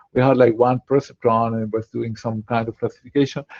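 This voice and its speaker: With a French accent, a man speaks at a fairly quick pace. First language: Spanish. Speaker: quantum machine learning researcher, startup founder. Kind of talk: online Q&A talk. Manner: halting, many fillers and repetitions.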